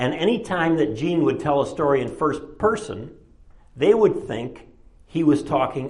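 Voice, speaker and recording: A somewhat breathy man with an American accent speaks with very wide pitch swings, and audible room echo surrounds him. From Chicago. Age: 70s. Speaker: retired professor and author. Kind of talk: lecture. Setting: presentation to an audience at a library.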